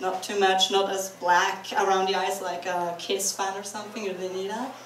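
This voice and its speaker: A speaker with a Norwegian accent talks at a moderate pace, with audible room echo and noticeable background noise. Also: woman. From Norway. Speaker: convention panelist. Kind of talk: convention talk. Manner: animated.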